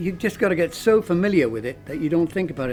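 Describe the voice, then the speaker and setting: Speaking very fast with a Welsh accent, a man has a fairly high pitch and lively intonation while music plays in the background. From Cardiff, South Wales. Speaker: musician, singer. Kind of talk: interview answer.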